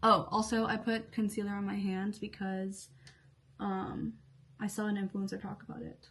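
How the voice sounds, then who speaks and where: Her intonation monotone and flat, a woman speaks at a medium pitch and a moderate pace. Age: 20s. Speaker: beauty and lifestyle vlogger. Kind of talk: casual chat while doing makeup. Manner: halting, many fillers.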